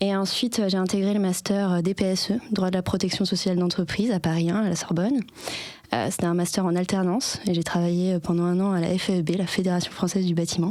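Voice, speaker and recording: Very fast yet very even in loudness, a woman speaks at a medium pitch with a dark, mellow tone and fairly even intonation. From southern France, Avignon. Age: 30s. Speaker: labour lawyer. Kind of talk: podcast interview. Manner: hesitant, many fillers.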